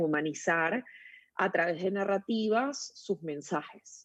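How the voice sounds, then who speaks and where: A woman with a Venezuelan accent speaks at a fairly low pitch against a quiet background. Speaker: storytelling consultant, agency founder. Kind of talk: interview.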